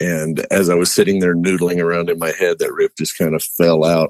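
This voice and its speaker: His voice is resonant. This man speaks at a very deep, low pitch. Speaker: musician interviewed as a guest. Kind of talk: casual, folksy, rural grammar. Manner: relaxed, dry humor.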